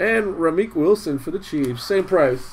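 A man's fairly slow delivery with ordinary pitch variation. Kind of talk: live commentary. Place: home room.

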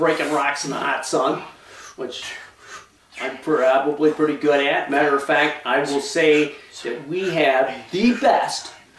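Speaking with an American accent, a man uses a fairly high pitch with ordinary pitch variation. His pace is fairly slow, and noticeable background noise is present. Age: 60s. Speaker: limestone quarry owner; bodybuilder. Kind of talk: casual talk to camera.

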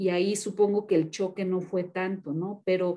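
A woman's voice, dark and mellow in tone, sounds over a quiet background. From Mexico. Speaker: moderator. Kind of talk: interview. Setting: video call. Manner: halting. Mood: friendly, conversational. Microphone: video call.

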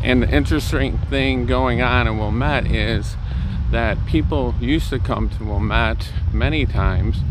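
A man's voice, dry with no echo, against noticeable background noise. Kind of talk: casual vlog chat. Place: street. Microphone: phone near.

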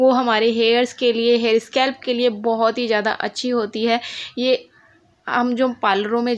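A woman at a fairly slow pace. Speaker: home vlogger. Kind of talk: casual vlog chat. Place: home room. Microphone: phone near.

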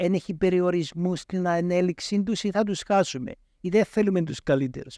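A man speaks with a high pitch, a dark, mellow tone and ordinary pitch variation. The sound is dry with no echo against a quiet background. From Cyprus. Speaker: professor of entrepreneurship. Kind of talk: interview. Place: studio. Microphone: studio mic.

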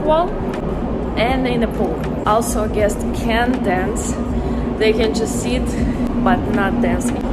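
Music plays in the background. A woman speaks at a very slow pace. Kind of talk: casual vlog chat. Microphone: phone near.

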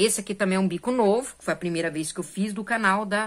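Lively, varied intonation in a woman's voice of medium pitch. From Brazil. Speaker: crochet YouTuber. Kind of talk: casual tutorial vlog. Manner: animated. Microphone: phone near.

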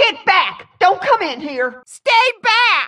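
Using a put-on character voice, a woman speaks at an extremely high pitch and a very slow pace, with very wide pitch swings. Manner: frantic, threatening, shouting.

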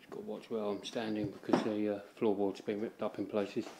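With vocal fry and a dark, mellow tone, a man talks at a fairly quick pace in a fairly low voice with little pitch movement.

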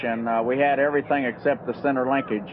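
Fairly quick speech over light background noise. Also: man. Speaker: race car driver. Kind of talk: interview. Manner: halting. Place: car. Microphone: headset.

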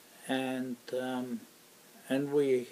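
The speaker has a Polish accent. The intonation stays monotone and flat. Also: man. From Poland. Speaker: war veteran. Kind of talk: oral history interview. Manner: halting, many fillers.

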